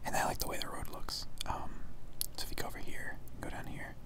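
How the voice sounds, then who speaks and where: A whispering voice in a relaxed tone moves at a fairly quick pace over noticeable background noise. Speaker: gamer / ASMR video creator. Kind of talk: casual gameplay commentary talking to camera. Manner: soft, relaxed, conversational.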